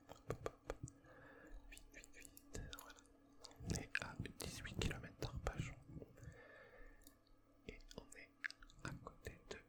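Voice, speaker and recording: Whispering at a very slow pace, a man leaves long, frequent pauses, his loudness swinging widely against noticeable background noise. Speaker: ASMR creator. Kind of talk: ASMR gaming commentary.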